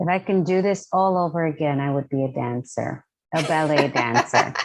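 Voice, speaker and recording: A woman speaks at a moderate pace in a very deep, low voice, with ordinary pitch variation. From New York City (Lower East Side, Manhattan). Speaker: professor and diversity consultant. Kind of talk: interview.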